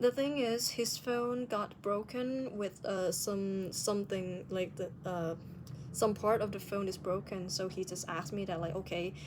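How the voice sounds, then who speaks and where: A woman with a non-native accent, medium pitch, ordinary pitch variation and a fairly slow pace. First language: non-native English speaker. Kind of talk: casual video diary talk to camera.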